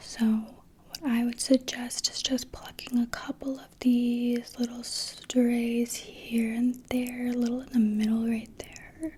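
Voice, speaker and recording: A soft-spoken woman with a gentle tone speaks at a high pitch and a very slow pace, with hardly any pauses and monotone, flat intonation. Her loudness swings widely over noticeable background noise. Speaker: ASMR artist. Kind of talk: ASMR roleplay face exam, personal attention. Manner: soft-spoken, gentle, calming.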